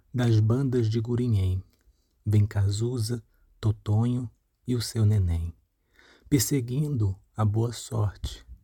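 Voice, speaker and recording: A man's somewhat breathy voice has a dark, mellow tone and a very slow pace. The sound is dry and close, with no echo. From Paraíba, Brazil (Itabaiana, interior). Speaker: reader of poetry. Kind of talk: reading aloud.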